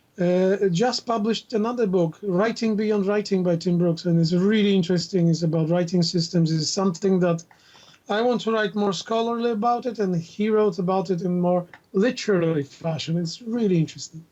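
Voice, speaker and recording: In a Russian accent, a man with a high pitch and a dark, mellow tone speaks at a fairly quick pace with ordinary pitch variation. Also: very even loudness. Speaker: university instructor and linguist. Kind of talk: casual chat.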